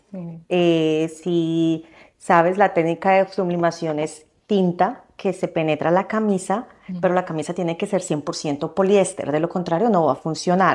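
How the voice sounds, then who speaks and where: A woman with a plain, everyday voice speaks at a fairly slow pace and a fairly low pitch, with fairly even intonation. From Colombia. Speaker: fashion designer and entrepreneur. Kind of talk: interview. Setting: in person studio.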